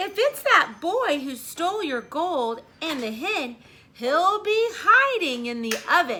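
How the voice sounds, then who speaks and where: A woman puts on a character voice at an extremely high pitch. She talks at a fairly slow pace with very wide pitch swings. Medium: read story.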